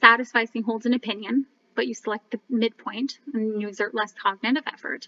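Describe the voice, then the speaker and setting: Recorded dry and close with no echo, a woman speaks in a fairly high pitch with fairly even intonation. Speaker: graduate student. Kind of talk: class presentation. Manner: fast.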